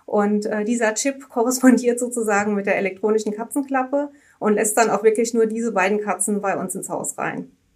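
Her pace fairly quick, a woman speaks at a fairly high pitch with fairly even intonation. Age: 30s. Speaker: insurance customer service employee. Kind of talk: interview conversation. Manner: hesitant, many filler words.

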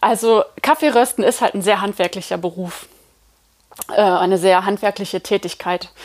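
A woman with a normal speaking voice and a medium pitch talks at a moderate pace with ordinary pitch variation. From Germany, Eifel region. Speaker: coffee roaster and company co-founder. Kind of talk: interview. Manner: many filler sounds.

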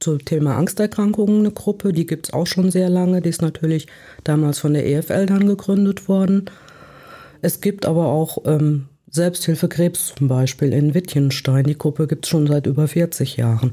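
Her voice is somewhat breathy with a dark, mellow tone, and this woman keeps her loudness very even. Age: 60s. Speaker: self-help contact point coordinator. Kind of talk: interview. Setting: studio.

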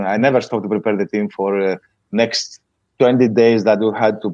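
A man speaks in a Greek accent with a fairly low pitch. His intonation is monotone and flat. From Greece. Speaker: water polo coach. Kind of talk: interview.

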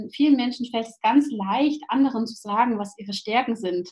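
Noticeable background noise sits behind a woman speaking at a moderate pace. Her voice is fairly high, with fairly even intonation. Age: 30s. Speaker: social pedagogue and parent coach. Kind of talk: casual interview.

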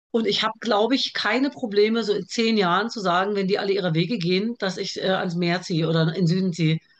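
Speaking at a very fast pace with hardly any pauses, a woman with a medium pitch and ordinary pitch variation is heard over noticeable background noise. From Germany, with early childhood in Iraq. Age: 40s. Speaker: TV producer and author. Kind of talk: casual interview chat. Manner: talkative.

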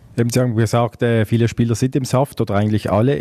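At a moderate pace, a man speaks with a dark, mellow tone in a medium pitch. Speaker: podcast host, sports journalist. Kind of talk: interview.

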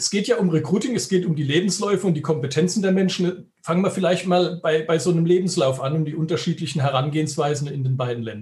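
A man's high-pitched voice at a very fast pace, with hardly any pauses and ordinary pitch variation. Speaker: headhunter, recruitment firm owner. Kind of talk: interview. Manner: emphatic, pointed.

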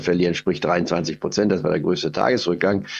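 The voice moves at a fairly quick pace with vocal fry. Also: man. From Goslar, Harz, Lower Saxony, Germany. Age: 80s+. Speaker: investment strategist. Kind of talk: interview. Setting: video call.

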